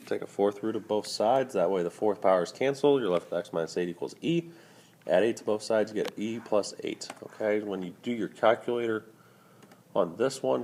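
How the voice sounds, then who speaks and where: A put-on character voice from a man, raspy and medium-pitched, at a fairly quick pace with ordinary pitch variation. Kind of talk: teaching, explaining math. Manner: talking fast.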